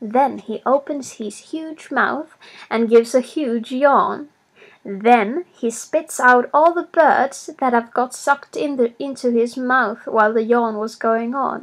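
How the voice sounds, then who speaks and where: Speaking at a very slow pace, a woman with a non-native accent has a high pitch and ordinary pitch variation. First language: not English. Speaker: storyteller. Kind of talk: reading aloud.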